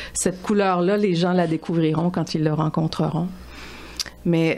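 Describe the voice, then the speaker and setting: Over noticeable background noise, a woman in a Quebec accent speaks very slowly at a fairly low pitch. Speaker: author. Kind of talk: radio interview.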